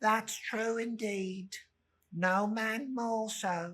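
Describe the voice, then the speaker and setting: A put-on character voice that sounds female, fairly high in pitch, speaks at a very slow pace. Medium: read story. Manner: meek, eager to agree.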